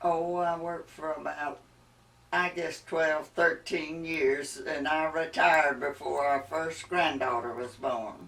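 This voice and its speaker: A woman with a very deep, low pitch and a Mississippi accent, at a very slow pace. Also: fairly even intonation. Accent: Mississippi Southern US. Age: 80s+. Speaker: interviewee, retired mother-in-law. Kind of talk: family oral history interview.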